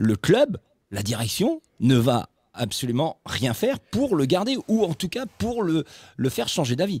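This man talks at a fairly slow pace with vocal fry and a fairly high pitch, swinging his pitch very widely, in a dry sound with no echo against a quiet background. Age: 50s. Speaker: football podcast host. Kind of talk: casual chat. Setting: studio. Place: home room. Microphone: studio mic.

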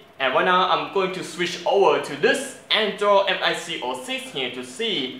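A man's raised, projected voice at a moderate pace, with audible room echo. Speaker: channel host reviewing a mic. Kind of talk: casual review vlog. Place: home room. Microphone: lapel.

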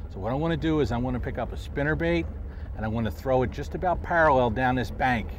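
A man at a fairly quick pace, dry sound with no echo, light background noise. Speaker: fishing show host. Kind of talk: tutorial. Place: boat. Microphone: lapel.

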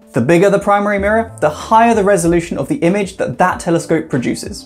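Faint music plays in the background. A man speaks at a very fast pace. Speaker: science educator. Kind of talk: explainer vlog. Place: home room.

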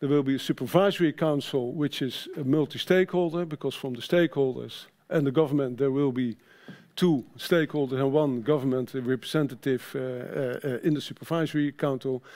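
Over a quiet background, a man with a fairly high voice talks at a fairly quick pace in a Dutch accent. His tone is dark and mellow, with fairly even intonation. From Netherlands. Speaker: sustainability manager at a trade association; conference presenter. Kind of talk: conference presentation. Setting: stage with audience. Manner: halting. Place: stage.

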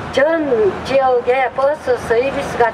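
The speech moves at a very slow pace with ordinary pitch variation over loud background noise. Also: woman. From Korea. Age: old. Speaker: community activist, bus riders union member. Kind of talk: public speech at a rally. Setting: outdoors. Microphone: handheld.

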